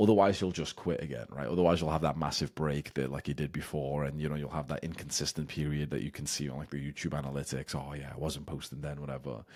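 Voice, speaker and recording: A man with a very deep, low pitch and vocal fry talks at a very fast pace. He leaves hardly any pauses. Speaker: YouTuber and business coach. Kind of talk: casual one-take talking-head advice. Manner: unscripted, off the cuff with stumbles; animated, ranting.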